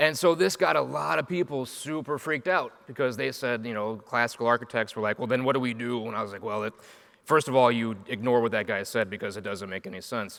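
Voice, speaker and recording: With an American accent, a man talks very fast at medium pitch, his tone animated and his intonation lively. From Chicago, US Midwest. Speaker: agile coach and software architect. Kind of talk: conference talk. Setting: stage with audience.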